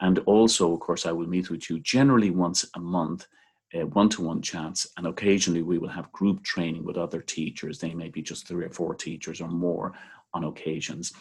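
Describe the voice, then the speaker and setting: Someone with an Irish accent talks at a fairly quick pace with fairly even intonation. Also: man, very deep, low pitch for a man. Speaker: seminary teacher trainer. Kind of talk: training video talk. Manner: relaxed, with frequent fillers.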